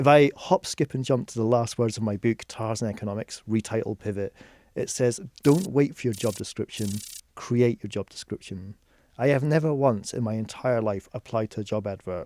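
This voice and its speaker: In a slight Scottish accent, a man speaks at a moderate pace with medium pitch, a dark, mellow tone and ordinary pitch variation. The recording is very clean with a silent background, its sound dry and close with no echo. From Scotland, Edinburgh. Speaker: music economist. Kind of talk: podcast interview.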